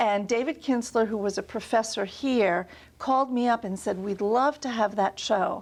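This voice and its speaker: In a New York accent, a woman speaks at a moderate pace and a fairly high pitch. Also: ordinary pitch variation, very clean recording, silent background. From New York, Long Island. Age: 60s. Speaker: art museum director. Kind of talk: interview.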